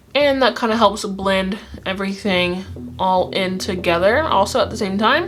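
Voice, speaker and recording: A woman speaks at a moderate pace, medium in pitch with ordinary pitch variation. Noticeable background noise sits under her voice. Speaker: beauty youtuber. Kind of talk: makeup tutorial. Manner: halting; casual.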